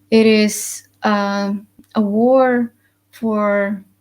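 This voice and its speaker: A woman speaks in an Icelandic accent with monotone, flat intonation. The recording is very clean, with a silent background. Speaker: spiritual vlogger. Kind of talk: live stream monologue. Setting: live stream with webcam. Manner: hesitant, many fillers.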